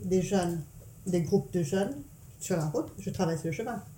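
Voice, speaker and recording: Her fairly low, somewhat breathy voice has a dark, mellow tone and lively intonation, moving at a fairly slow pace. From Mauritius, part of childhood in England. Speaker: mother telling her life story. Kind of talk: family life-story interview. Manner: hesitant, many fillers.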